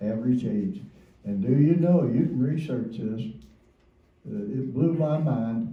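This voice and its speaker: Audible room echo surrounds a man who speaks at a fairly slow pace with very wide pitch swings. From Kentucky. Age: 90s. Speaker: Korean War veteran. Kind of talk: testimony.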